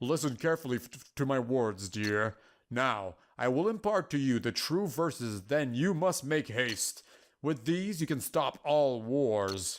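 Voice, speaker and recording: A man uses a put-on character voice at a medium pitch. He goes at a fairly slow pace on a very clean recording with a silent background. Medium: game stream. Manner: calm, patient, affectionate.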